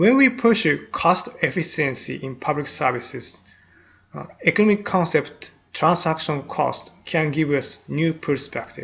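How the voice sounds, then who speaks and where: A man speaks fairly slowly with a non-native accent and lively intonation. His voice sits fairly high for a man. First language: not English. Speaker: university lecturer. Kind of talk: lecture. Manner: hesitant, frequent uh fillers.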